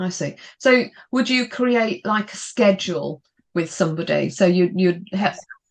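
Speaking with a British accent, a woman at a medium pitch talks at a fairly slow pace with big swings in loudness. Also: ordinary pitch variation. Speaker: podcast host. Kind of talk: interview, business podcast chat. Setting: video call.

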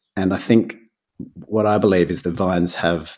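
A man speaks with a very deep, low pitch. His pace is moderate and his intonation fairly even. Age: 30s. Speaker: winemaker. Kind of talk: casual chat.

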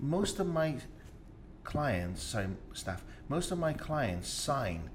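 Over noticeable background noise and audible room echo, a man talks with very wide pitch swings. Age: 50s. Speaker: podcast host and business owner. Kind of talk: interview.

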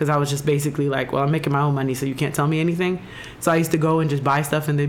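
Noticeable background noise sits behind a woman talking very fast in a very deep, low pitch. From Jamaica. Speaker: podcast host. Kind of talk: casual chat.

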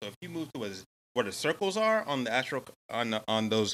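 Very fast and in an American accent, a man talks at medium pitch with a bright, sharp tone, recorded very cleanly against a silent background. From Atlanta, US South. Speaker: astrologer. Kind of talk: casual chat.

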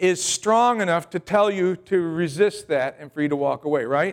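A man talks at a moderate pace in a very clean recording, the background silent. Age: 60s. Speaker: pastor. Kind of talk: Sunday sermon to a church congregation, with call-and-response. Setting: church with congregation. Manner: conversational, folksy preaching with asides and humor; repetitive, halting restarts.

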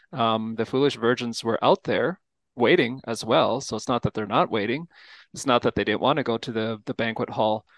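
A man with a plain, everyday voice, medium in pitch, at a fairly quick pace with ordinary pitch variation, dry and close with no echo, over a quiet background. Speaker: pastor. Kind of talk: casual chat.

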